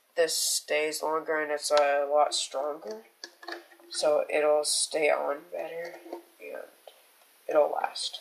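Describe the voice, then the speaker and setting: Very slow pace with long, frequent pauses over noticeable background noise. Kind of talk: casual tutorial talk.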